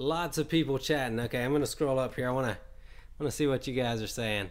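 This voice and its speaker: With a slight Southern US accent, a man talks at a very fast pace in a medium-pitched voice. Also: ordinary pitch variation. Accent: slight Southern twang. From US South, Alabama. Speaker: game streamer. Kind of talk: live gameplay stream commentary. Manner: casual, filler-heavy.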